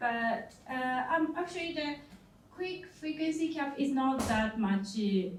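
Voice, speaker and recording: Speaking very slowly, a woman uses lively intonation with a Japanese accent. Noticeable background noise and audible room echo fill the recording. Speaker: company CEO, conference speaker. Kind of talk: conference talk. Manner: halting, many fillers.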